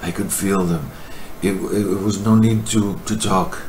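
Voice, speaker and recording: A man with a Greek accent speaks at a very slow pace and fairly low pitch, with fairly even intonation. Noticeable background noise and audible room echo fill the recording. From Greece, countryside. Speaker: video testimony contributor. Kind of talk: personal testimony. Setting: recorded to camera. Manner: halting, hesitant.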